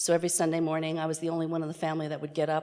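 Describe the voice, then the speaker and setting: A woman with an American accent, her pitch very deep and low, her intonation monotone and flat, over noticeable background noise. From New York City area. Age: 60s. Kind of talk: personal testimony talk.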